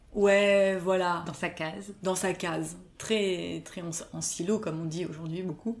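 A woman speaks at a fairly slow pace. Her pitch is fairly low, with fairly even intonation. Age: 30s. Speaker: cultural mediation consultant. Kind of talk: interview. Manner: halting, many repetitions and fillers.

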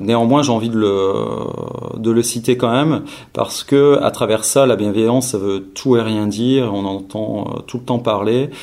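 Speaking fairly slowly, a man uses a medium pitch. His intonation is fairly even. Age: 40s. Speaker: training company founder. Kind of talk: interview. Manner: halting, many hesitations.

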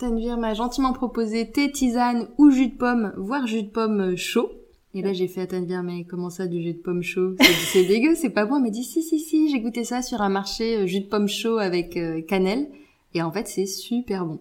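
Lively intonation marks this woman's unremarkable speaking voice, pitched fairly high. She keeps a moderate pace. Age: 40s. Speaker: naturopath. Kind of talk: casual chat.

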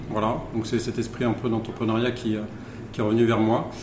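Noticeable background noise and audible room echo around a medium-pitched male voice. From Charente, western France. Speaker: wine bar owner. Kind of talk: casual interview. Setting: in a wine bar. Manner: halting.

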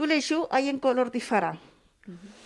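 A woman talks with a Spanish accent. Her voice is high-pitched. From Argentina. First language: Spanish (speaking French). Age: 70s. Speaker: guest with experience of homelessness. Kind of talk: interview testimony.

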